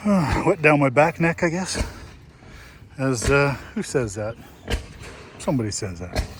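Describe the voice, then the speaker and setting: In a relaxed tone, a man with an American accent and a fairly high pitch speaks at a fairly slow pace, using very wide pitch swings and long, frequent pauses amid noticeable background noise. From Minnesota Iron Range. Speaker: vlogger at engine show. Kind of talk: casual vlog narration. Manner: relaxed, chatty.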